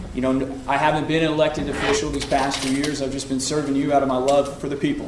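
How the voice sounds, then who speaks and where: In a room with audible echo and noticeable background noise, a man talks very fast in a fairly high, flat monotone. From Oklahoma. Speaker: political candidate. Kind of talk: political debate.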